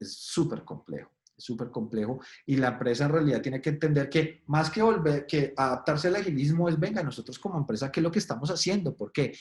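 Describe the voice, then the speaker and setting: A man talks at a fairly high pitch and moderate pace with ordinary pitch variation. His voice is somewhat breathy. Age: 40s. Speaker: agile expert speaker. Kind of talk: webinar presentation. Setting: online webinar. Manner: casual, animated.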